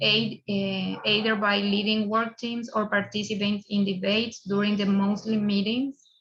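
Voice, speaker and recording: A woman at a medium pitch speaks at a moderate pace with hardly any pauses, her intonation monotone and flat and her loudness very even. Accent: Spanish. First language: Spanish. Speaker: museum professional. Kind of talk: conference presentation. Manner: halting.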